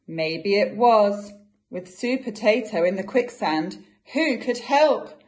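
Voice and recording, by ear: Reading aloud in a natural voice, with lively intonation over a quiet background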